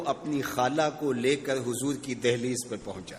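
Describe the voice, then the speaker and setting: Noticeable background noise behind a man's fairly high-pitched voice. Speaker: Islamic scholar giving a sermon. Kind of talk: emotional religious sermon (bayan). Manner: storytelling, building emotion.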